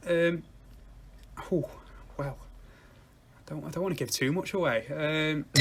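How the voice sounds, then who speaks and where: With a northern English accent, the speaker moves at a very slow pace, showing ordinary pitch variation and long, frequent pauses. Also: man, fairly high pitch for a man. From northwest England. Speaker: music podcast co-host. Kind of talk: casual chat.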